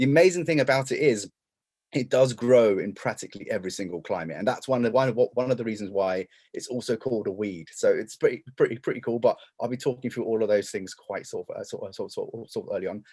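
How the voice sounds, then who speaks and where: A man with an English accent talks at a very fast pace, his loudness swinging widely. The recording is very clean, with a silent background. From England. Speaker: denim historian and lecturer. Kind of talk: presentation. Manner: halting, many repetitions and fillers.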